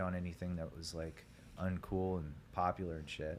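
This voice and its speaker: A man speaks at a moderate pace in an American accent. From US Midwest, Ohio (Grandview, Hilliard). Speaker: musician, singer. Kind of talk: casual chat.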